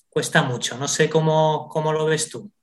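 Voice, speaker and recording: Speaking at a fairly slow pace, a man uses an ordinary speaking voice pitched fairly high. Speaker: radio podcast host. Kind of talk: interview.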